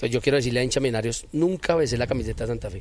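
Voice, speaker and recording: A man rattles along at a very fast speed, his pitch medium and its variation ordinary. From Bogotá, Colombia. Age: 40s. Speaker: former footballer and football coach. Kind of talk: interview.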